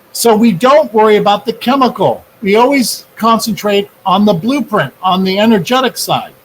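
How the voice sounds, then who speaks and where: A man's high-pitched voice at a moderate pace, with ordinary pitch variation, very even loudness, hardly any pauses and noticeable background noise. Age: 60s. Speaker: energy healing researcher. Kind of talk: interview.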